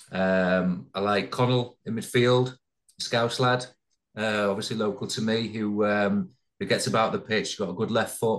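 Against a quiet background, a man with a plain, everyday voice speaks at a fairly slow pace, with a fairly low pitch and ordinary pitch variation. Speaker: former professional footballer. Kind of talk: casual interview.

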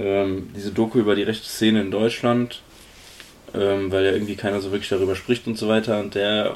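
Pitched fairly low, a man speaks with monotone, flat intonation. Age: 20s. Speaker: podcast co-host. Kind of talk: casual chat.

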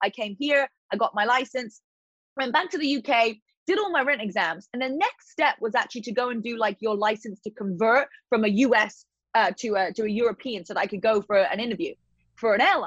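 A woman with a British accent talks at a fairly quick pace with lively intonation. The sound is dry and close, with no echo. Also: fairly high pitch for a woman. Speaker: fitness influencer and entrepreneur. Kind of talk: casual interview chat.

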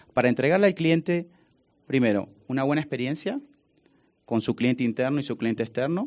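A plain, everyday voice from a man, medium in pitch, ordinary in pitch variation. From Argentina, Buenos Aires. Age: 40s. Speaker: business executive. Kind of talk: interview.

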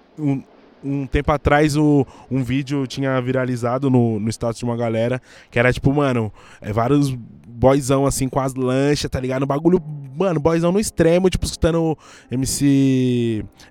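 Against music in the background, a man speaks at a moderate pace and medium pitch with ordinary pitch variation. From Brazil, São Paulo periphery (Guarulhos). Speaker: journalist and content creator. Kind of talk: casual chat.

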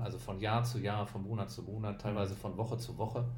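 A man's fairly low, flat, monotone voice with vocal fry, at a fairly quick pace, in audible room echo. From Düsseldorf, western Germany. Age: 30s. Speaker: bald podcast guest. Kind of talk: casual chat.

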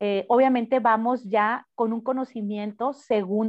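A woman with an unremarkable speaking voice, fairly high in pitch, at a moderate pace with fairly even intonation. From Mexico, Cananea, Sonora. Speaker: mayoral candidate, politician. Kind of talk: interview.

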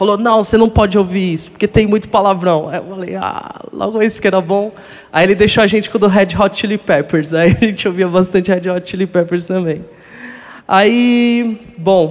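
The man's pitch is high for a man. He talks at a moderate pace with fairly even intonation. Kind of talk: testimony.

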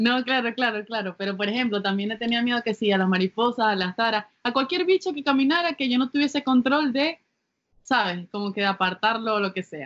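With a normal speaking voice, a woman talks at a fairly quick pace in a fairly high pitch with lively intonation, the sound dry and close with no echo. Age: 20s. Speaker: podcast co-host. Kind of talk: casual chat. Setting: home during quarantine.

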